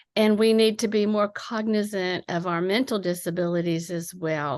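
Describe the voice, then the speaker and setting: At a fairly slow pace, a woman of medium pitch speaks with a slight Appalachian accent against a quiet background. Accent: slight Appalachian twang. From Appalachian southeastern Ohio. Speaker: poet. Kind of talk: interview. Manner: hesitant, many fillers.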